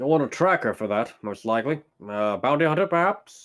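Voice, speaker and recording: Using a put-on character voice at a medium pitch, a man speaks at a fairly quick pace with very wide pitch swings on a very clean recording with a silent background. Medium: actual play. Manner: wry, laconic.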